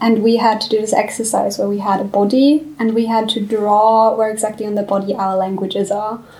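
A fairly high-pitched woman with a German accent, flat and monotone, fairly quick with hardly any pauses, amid noticeable background noise. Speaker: student, writing society founder. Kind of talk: casual chat.

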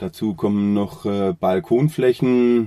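At a very slow pace, a man talks in a dark, mellow tone, his medium pitch moving with ordinary variation. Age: 40s. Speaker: carpenter and joiner. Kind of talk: interview. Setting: studio, face to face. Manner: hesitant, many filler sounds.

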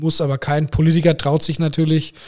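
Moderate-paced speech from a man on a very clean recording with a silent background. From Germany, Braunschweig area. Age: 40s. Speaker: hospital managing director. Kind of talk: interview.

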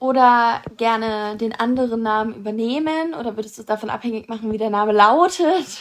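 A woman talks at a fairly quick pace, with hardly any pauses. She has an ordinary speaking voice, a fairly high pitch and ordinary pitch variation. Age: 19. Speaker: podcast co-host. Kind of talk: casual chat. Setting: train station.

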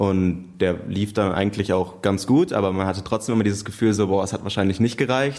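Speaking at a very fast pace, the man keeps his intonation fairly even. His pitch is fairly low. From Münster, Germany. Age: 20s. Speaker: police trainee. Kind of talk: casual chat.

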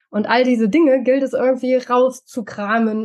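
High pitch and a fairly slow pace from a woman. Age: 40s. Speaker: mentor and coach. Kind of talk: interview testimony. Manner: hesitant, many fillers.

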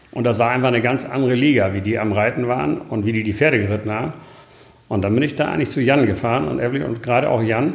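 A very fast man's voice at medium pitch, ordinary pitch variation, audible room echo and noticeable background noise. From northern Germany, near Bremen. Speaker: horse breeder and farmer. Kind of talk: interview.

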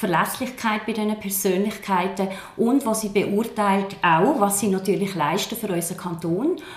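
A woman's medium-pitched voice at a fairly slow pace with ordinary pitch variation, amid noticeable background noise and audible room echo. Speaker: politician. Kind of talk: political debate. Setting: office.

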